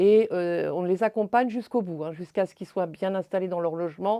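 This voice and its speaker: A woman speaks at a medium pitch with a dark, mellow tone over a quiet background. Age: 60s. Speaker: retired social association founder. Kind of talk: interview testimony. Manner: halting, many hesitations.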